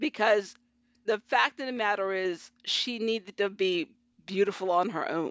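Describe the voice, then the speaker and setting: This woman has a plain, everyday voice of medium pitch. She talks at a moderate pace with ordinary pitch variation. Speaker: government analyst and fiction writer. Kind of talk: casual chat.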